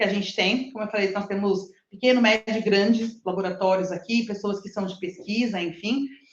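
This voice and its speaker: Against audible room echo, a woman talks at a fairly high pitch with ordinary pitch variation. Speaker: lecturer. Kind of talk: lecture. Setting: live stream with in-person audience. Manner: fast.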